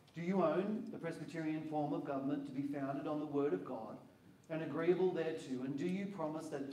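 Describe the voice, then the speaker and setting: Heard with audible room echo, a man speaks at a moderate pace with ordinary pitch variation. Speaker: minister leading the induction. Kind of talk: formal liturgical questions. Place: hall. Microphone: handheld.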